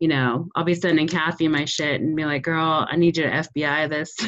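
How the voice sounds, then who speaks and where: Speaking at a moderate pace, a woman uses a normal speaking voice with a fairly low pitch. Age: 40s. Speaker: podcast host. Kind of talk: casual chat.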